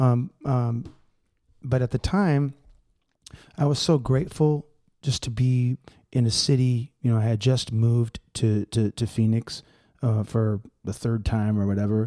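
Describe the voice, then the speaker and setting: A man with a dark, mellow tone speaks at a fairly slow pace, leaving long, frequent pauses, and his pitch varies in an ordinary way. The sound is dry and close, with no echo. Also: medium pitch for a man. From San Francisco Bay Area (Richmond). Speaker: musician, percussionist. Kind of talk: casual chat.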